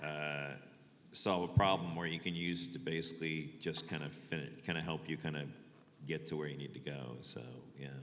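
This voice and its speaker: With audible room echo, a man speaks at a moderate pace in a very deep, low voice with vocal fry and fairly even intonation. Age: 60s. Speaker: photographer. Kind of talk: panel talk. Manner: halting.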